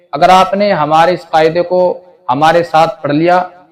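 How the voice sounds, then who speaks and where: This man has an unremarkable speaking voice with a fairly high pitch. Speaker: Quran teacher. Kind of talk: religious lesson voiceover.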